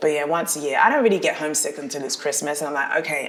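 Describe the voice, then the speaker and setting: A woman in a South London accent, very deep and low in pitch, at a very fast pace, over noticeable background noise. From South London, England. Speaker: dancer and actress. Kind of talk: casual interview chat.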